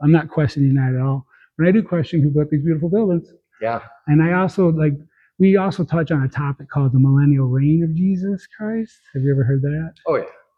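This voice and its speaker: A man with a somewhat breathy, fairly high voice speaks at a very fast pace with ordinary pitch variation. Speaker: old-world architecture enthusiast. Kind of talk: casual interview talk. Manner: rambling, stumbling over words.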